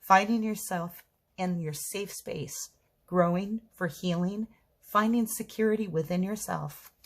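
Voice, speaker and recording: A woman's somewhat breathy voice at a medium pitch, fairly slow in pace with ordinary pitch variation, on a very clean recording with a silent background. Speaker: tarot reader. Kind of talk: tarot reading monologue. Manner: stuttering today; hesitant with fillers.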